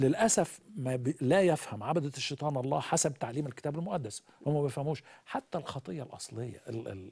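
Against a quiet background, a man with a fairly high pitch and a dark, mellow tone sounds somewhat breathy, speaking at a moderate pace with hardly any pauses. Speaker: pastor; guest pastor. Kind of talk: religious teaching in a live interview. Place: studio. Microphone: lapel.

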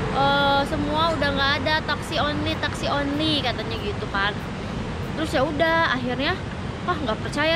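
A woman speaking at a moderate pace, with a dry sound with no echo and loud background noise. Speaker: travel vlogger. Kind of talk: casual vlog chat. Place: street. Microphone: phone near.

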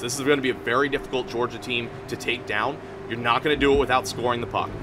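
A man talks at a fairly quick pace with an American accent. Noticeable background noise runs underneath. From Florida. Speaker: hockey show panelist; panelist. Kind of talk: sports preview panel chat. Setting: arena venue. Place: stadium. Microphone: studio mic.

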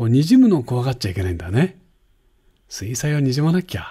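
A man's relaxed, dark, mellow, somewhat breathy voice with very wide pitch swings against a quiet background. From Japan. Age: 70s. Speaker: painting instructor. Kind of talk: tutorial. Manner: relaxed, chatty with frequent fillers.

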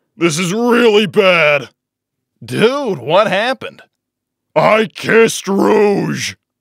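Using a cartoonish character voice, a man speaks very slowly at a high pitch, his tone fairly bright. Big pitch swings and vocal fry run through it.

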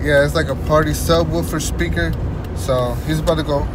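Loud background noise runs under the recording. A man's voice comes through dry, with no echo. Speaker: car enthusiast vlogger. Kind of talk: casual vlog chat. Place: car. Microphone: phone near.

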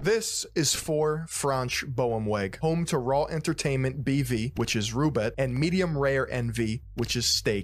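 At a fairly slow pace and with ordinary pitch variation, a man is recorded with a dry sound and no echo. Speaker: video essay narrator. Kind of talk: documentary commentary. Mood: sarcastic, critical. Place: home room. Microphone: studio mic.

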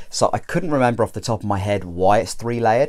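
The background stays quiet while this man talks. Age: 30s. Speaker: YouTuber reviewing hair systems. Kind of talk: product review vlog. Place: home room. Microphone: lapel.

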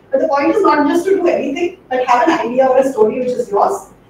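Strong room echo and light background noise surround a woman with a high pitch who talks at a very fast pace. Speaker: presenter. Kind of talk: lecture. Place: classroom. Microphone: camera far.

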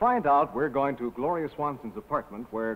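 Upbeat and fairly high-pitched, a man talks at a fairly quick pace. His intonation is lively. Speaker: commercial announcer. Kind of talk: 1950s TV commercial announcer intro. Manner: bright, upbeat, crisp. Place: studio. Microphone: old recording.

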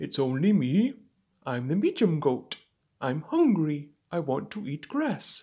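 A woman's cartoonish character voice, very deep and low, at a fairly slow pace on a very clean recording with a silent background. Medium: puppet.

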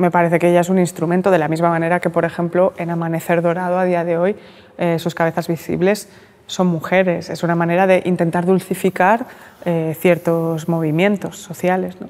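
A woman talks at a fairly quick pace with fairly low pitch. Her intonation is monotone and flat. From Catalonia, Barcelona. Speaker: journalist and writer; journalist. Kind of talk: interview. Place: hall. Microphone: lapel.

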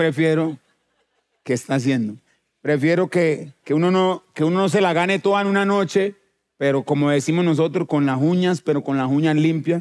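A man speaks at a moderate pace with very even loudness. His fairly high pitch has ordinary variation. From Colombia, Chocó. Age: 40s. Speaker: musician; talk show guest. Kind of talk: casual chat. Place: stage. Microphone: headset.

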